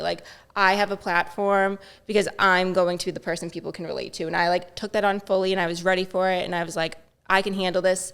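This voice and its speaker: Medium-pitched female voice at a fairly quick pace. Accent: Boston. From Boston. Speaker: social media influencer. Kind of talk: podcast interview answer. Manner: upbeat, positive.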